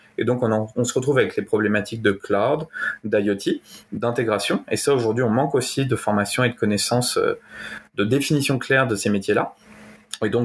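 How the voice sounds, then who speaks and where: With very even loudness, a man at medium pitch and ordinary pitch variation speaks at a moderate pace, leaving long, frequent pauses. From Normandy, France. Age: 30s. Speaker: AI engineer and entrepreneur. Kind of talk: interview.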